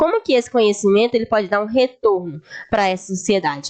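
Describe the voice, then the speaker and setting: A woman speaks with lively intonation. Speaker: history teacher. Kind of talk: lecture.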